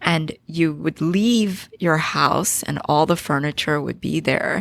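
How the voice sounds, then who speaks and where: A woman with a very deep, low voice and a Philadelphia accent speaks at a very slow pace with ordinary pitch variation. There is noticeable background noise. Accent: American, Philadelphia area. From Philadelphia, Pennsylvania, US (born in Korea). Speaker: business founder and CEO. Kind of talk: podcast interview.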